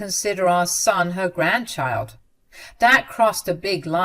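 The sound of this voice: This is an unforced reading voice. It reads the text through.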